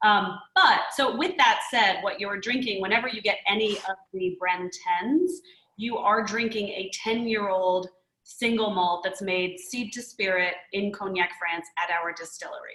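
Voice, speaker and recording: Her medium-pitched voice has a bright, sharp tone, and the woman speaks with an American accent. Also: ordinary pitch variation. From USA. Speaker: whiskey distiller, brand founder. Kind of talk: interview.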